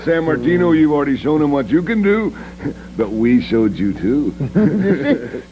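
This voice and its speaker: With a menacing tone and very wide pitch swings, a man speaks at a fairly slow pace over noticeable background noise. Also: fairly high pitch for a man. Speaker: professional wrestler. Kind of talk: pro wrestling promo. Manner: menacing, short and gruff.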